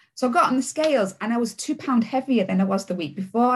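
In a Yorkshire accent, a woman talks at a fairly quick clip with lively intonation and a somewhat breathy quality. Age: 40s. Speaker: deputy head teacher. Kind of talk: interview testimony. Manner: hesitant, many fillers.

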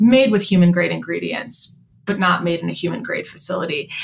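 A woman speaks very fast with an American accent. Her fairly low voice carries vocal fry. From Chicago. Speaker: veterinarian and company co-founder. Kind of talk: interview.

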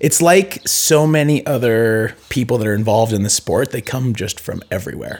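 Using a normal speaking voice with an American accent, a man talks at a moderate pace and medium pitch with hardly any pauses. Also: lively intonation. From US Pacific Northwest (Seattle, then Idaho and Bend, Oregon). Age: 30s. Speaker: retired pro cross-country skier. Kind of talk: casual interview. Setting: in person, recorded.

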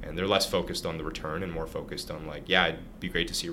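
Very fast speech in a Canadian accent, with noticeable background noise and audible room echo. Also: man. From Canada, Ottawa. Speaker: startup founder and CEO. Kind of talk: interview. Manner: hesitant with repetitions.

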